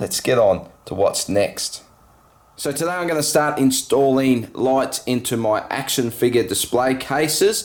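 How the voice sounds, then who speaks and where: Speaking with an Australian accent, a man with a fairly high pitch goes at a fairly slow pace and uses ordinary pitch variation. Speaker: LEGO vlogger. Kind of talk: casual vlog.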